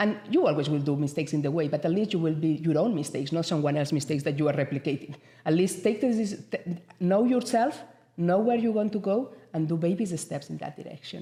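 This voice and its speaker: A woman speaks at a very fast pace with lively intonation and a fairly low pitch. Her tone is dark and mellow, and somewhat breathy. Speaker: entrepreneur, business founder. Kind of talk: radio interview. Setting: radio studio.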